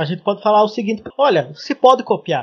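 A man talks at a moderate pace with lively intonation, the sound dry and close with no echo. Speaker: podcast host, web developer. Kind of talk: casual chat.

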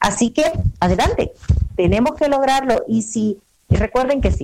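Pitch swings very widely in this woman's voice. She talks fairly slowly. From El Salvador. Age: 30s. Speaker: travel agent. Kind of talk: radio interview.

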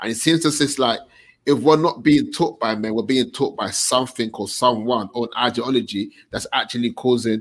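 A man talks at a fairly quick pace in a plain, everyday voice. His pitch is medium, with ordinary pitch variation. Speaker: men's group host. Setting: online livestream with comments.

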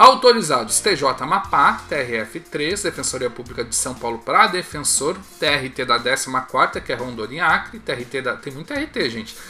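A man with a fairly high voice talks at a fairly slow pace, barely pausing, his intonation lively and his loudness swinging widely. Noticeable background noise runs beneath him. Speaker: exam prep video host. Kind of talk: solo video monologue, news roundup.

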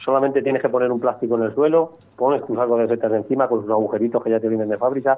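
This man talks at a very fast pace with a medium-pitched voice. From Cuenca, Castilla-La Mancha, Spain. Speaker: mushroom farmer. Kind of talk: interview.

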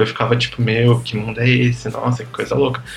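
Music plays in the background behind a man speaking at a medium pitch. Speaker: podcast guest, pop music fan. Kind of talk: casual chat.

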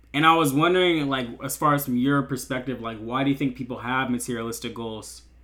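A man speaks at a very fast pace, with hardly any pauses. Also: medium pitch for a man, fairly even intonation. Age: 19. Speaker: podcast host, college student. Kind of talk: casual interview chat. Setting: video call.

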